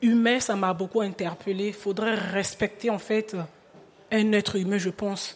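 Delivered in a normal speaking voice, the speech moves at a fairly slow pace with fairly even intonation. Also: woman. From Republic of the Congo. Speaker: choreographer and dancer. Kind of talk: live radio panel discussion. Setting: live public broadcast at tables.

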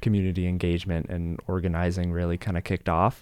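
Recorded very cleanly against a silent background, a very deep, low-pitched man's voice carries an American accent. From Colorado. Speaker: county climate fellow. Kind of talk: radio interview. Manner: hesitant, many fillers.

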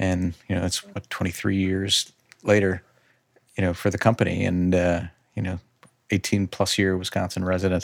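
A man with a Chicago-area accent speaks at a moderate pace in a very deep, low pitch, with monotone, flat intonation and long, frequent pauses. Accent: Chicago-area Midwestern American. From US Midwest, north suburbs of Chicago. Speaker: business owner. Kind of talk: casual chat.

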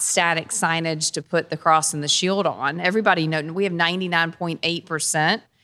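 A woman talks at a moderate pace with fairly even intonation and a fairly low pitch. She has a plain, everyday voice. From North Carolina, Dunn. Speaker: marketing executive. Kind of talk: live panel discussion. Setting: live recording before audience.

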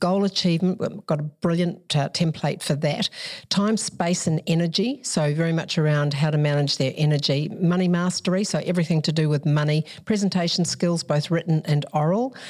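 A woman speaks in a normal speaking voice at a fairly quick pace with hardly any pauses, her fairly low pitch showing ordinary variation and her loudness very even, on a very clean recording with a silent background. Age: 60s. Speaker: parenting educator and author. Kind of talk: interview.

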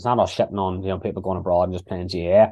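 A man's fairly low voice in an Irish accent, very fast and with fairly even intonation. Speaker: podcast host. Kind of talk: casual chat. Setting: video call.

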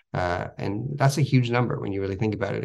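A man with an unremarkable speaking voice and fairly low pitch talks at a fairly quick pace over a quiet background. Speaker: company spokesperson. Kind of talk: radio interview.

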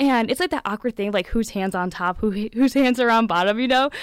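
In an American accent, a woman with an unremarkable speaking voice talks fairly quickly at a fairly high pitch, with ordinary pitch variation. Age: 20s. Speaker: pageant titleholder and painter. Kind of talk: interview.

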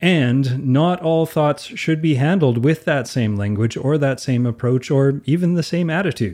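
Against a quiet background, a man with a Canadian accent speaks at a moderate pace. His tone is dark and mellow, his pitch fairly high, and his pitch variation ordinary. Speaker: podcast co-host. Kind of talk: casual chat.

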